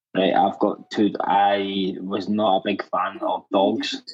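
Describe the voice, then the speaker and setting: This is a man talking. He has a strong Scottish accent. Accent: thick Scottish. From Scotland. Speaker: pet owner caller. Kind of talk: casual chat.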